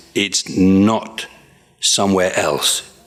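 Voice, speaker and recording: A man is speaking. Noticeable background noise can be heard. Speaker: Buddhist monk teacher. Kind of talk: dharma teaching review session. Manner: halting; fast.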